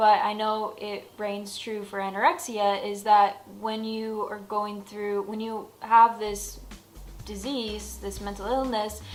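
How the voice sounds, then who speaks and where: With music in the background, a woman speaks at a very slow pace and a fairly high pitch, her intonation fairly even but her loudness swinging widely. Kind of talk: casual talk to camera. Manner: casual, chatty.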